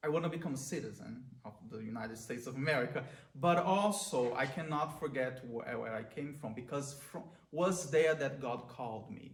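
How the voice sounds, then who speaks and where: A man with a Brazilian accent speaks at a moderate pace in a fairly high pitch for a man. His pitch varies in an ordinary way, and there is audible room echo. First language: Portuguese. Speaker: priest. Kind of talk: prayer reflection talk. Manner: halting.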